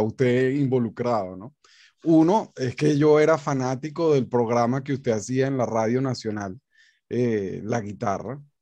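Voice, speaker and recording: In a quiet background, a man with a dark, mellow tone and a medium pitch talks at a fairly slow pace with ordinary pitch variation, the sound dry with no echo. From Venezuela. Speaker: guitar academy director and interviewer; interview host, presenter. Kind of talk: interview. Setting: video call. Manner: halting. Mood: warm, respectful. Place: home room. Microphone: studio mic.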